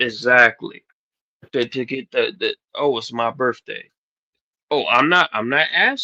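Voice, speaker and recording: Dry and close with no echo, a man's fairly high, bright, sharp voice moves at a moderate pace. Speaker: livestream host. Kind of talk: casual livestream chat. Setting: live stream. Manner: animated.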